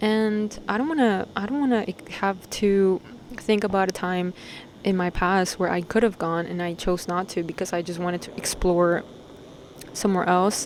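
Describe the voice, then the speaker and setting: Her pace is moderate and her intonation fairly even. Noticeable background noise sits behind the woman's voice. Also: medium pitch for a woman. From Peru (Lima/Callao area), moved to New York at 10. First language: Spanish. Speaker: vlogger. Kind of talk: casual vlog monologue. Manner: casual, slangy, profane.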